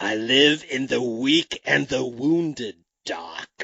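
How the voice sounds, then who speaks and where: This man puts on a character voice with a menacing tone. He speaks very slowly at a medium pitch. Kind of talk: slow, ominous movie delivery. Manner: creepy, menacing.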